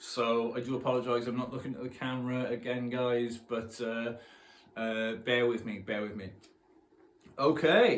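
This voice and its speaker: A man with a South Wales accent and a medium pitch talks at a moderate pace in a monotone, flat way, with audible room echo. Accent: Newport, Wales. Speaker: punk poet. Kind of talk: casual chat. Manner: halting.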